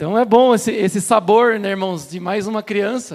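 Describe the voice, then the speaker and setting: Heard in a very clean recording with a silent background, a man speaks at a high pitch and a fairly slow pace with ordinary pitch variation. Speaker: preacher. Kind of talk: sermon. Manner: deliberately slowed.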